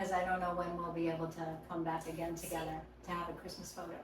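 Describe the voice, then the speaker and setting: A woman talks at a fairly quick pace, with audible room echo and noticeable background noise in the recording. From Hawaii. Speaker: podcast guest. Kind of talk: casual chat.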